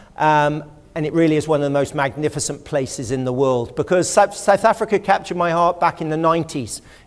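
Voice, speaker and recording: In an English accent, a man talks very fast at a fairly high pitch with ordinary pitch variation. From England, West Country (Exmoor). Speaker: historian and lecturer. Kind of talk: public lecture. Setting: auditorium with audience.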